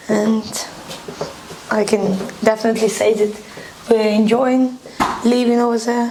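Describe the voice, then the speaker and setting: Speaking with a Ukrainian accent, a woman talks at a fairly slow pace and fairly high pitch in a monotone, flat intonation, with long, frequent pauses and noticeable background noise. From Ukraine. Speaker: refugee. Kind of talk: documentary interview.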